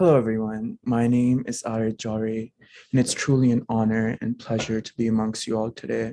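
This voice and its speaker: In a dark, mellow tone, a man speaks fairly quickly at medium pitch with monotone, flat intonation, the sound dry and close with no echo. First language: not English. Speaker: program alumnus. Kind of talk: prepared personal testimony speech. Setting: hybrid holiday event.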